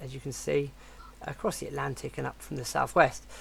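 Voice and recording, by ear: The voice is croaky, with vocal fry.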